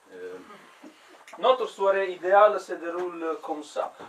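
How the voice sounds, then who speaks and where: In an Italian accent, a man speaks with audible room echo and noticeable background noise. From Italy. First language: Italian (speaking French). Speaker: comedian. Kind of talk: stand-up. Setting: stage with audience. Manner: halting, many hesitations and repeats.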